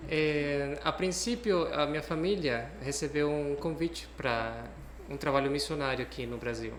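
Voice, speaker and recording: A man with a Cuban accent and a fairly high pitch, at a fairly slow pace, with ordinary pitch variation, audible room echo and noticeable background noise. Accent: foreign (Cuban Spanish) accent in Portuguese. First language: Spanish (speaking Portuguese). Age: young. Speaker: guest on a talk show, psychology professional. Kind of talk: interview.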